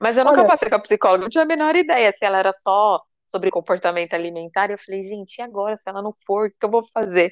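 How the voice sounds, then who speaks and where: A woman talks very fast at a medium pitch, with lively intonation and big swings in loudness. The sound is dry and close, with no echo. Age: 30s. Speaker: financial consultant. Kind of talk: casual chat.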